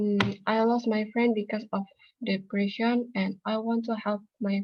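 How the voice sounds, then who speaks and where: A woman speaks at a fairly slow pace in a somewhat breathy, fairly high voice, her intonation flat and monotone. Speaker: psychology student. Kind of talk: class self-introduction speech.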